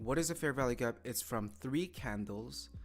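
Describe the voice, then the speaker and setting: A man speaks with a fairly low pitch and lively intonation. Music plays in the background. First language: not English. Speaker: day trader streamer. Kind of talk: live trading commentary. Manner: halting.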